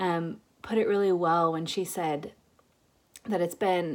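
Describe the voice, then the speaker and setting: A soft-spoken woman talks at a very slow pace in a fairly low register. The recording is very clean, with a silent background. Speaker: podcast host. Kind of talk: casual monologue. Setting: at family home for holidays.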